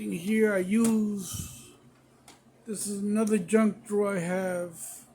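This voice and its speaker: Fairly slow and fairly even in intonation, a man speaks with high pitch amid audible room echo. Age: 60s. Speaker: tool collector and home mechanic. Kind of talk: casual show-and-tell video. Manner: casual with frequent fillers.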